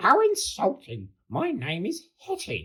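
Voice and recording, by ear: A man puts on a character voice, slow and high-pitched, with a husky, rough edge, a fairly bright tone and very wide pitch swings.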